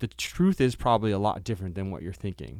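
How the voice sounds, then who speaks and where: This is a man recorded very cleanly against a silent background. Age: 40s. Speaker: startup investor. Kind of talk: casual chat. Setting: studio.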